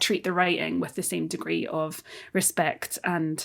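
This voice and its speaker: A woman talks at a moderate pace in a Scottish accent. The recording is very clean, with a silent background. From Scotland. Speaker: theatre director. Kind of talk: interview conversation. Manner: halting, many fillers and restarts.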